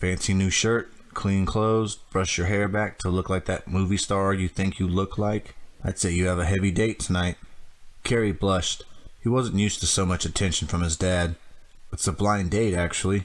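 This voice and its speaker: At a moderate pace, a man talks with a very deep, low pitch, fairly even intonation and very even loudness, on a very clean recording with a silent background. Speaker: amateur audiobook reader. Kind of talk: audiobook reading.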